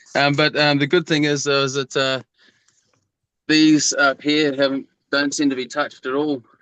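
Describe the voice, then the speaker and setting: A man with a New Zealand accent has a bright, sharp tone, heard in a dry, close sound with no echo. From New Zealand, North Island. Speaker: home cannabis grower. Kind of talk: casual chat.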